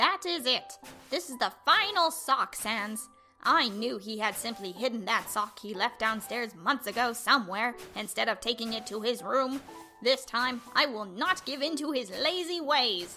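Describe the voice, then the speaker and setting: A woman's put-on character voice at a high pitch and moderate pace, with clear music in the background. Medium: dub. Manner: pompous, theatrical.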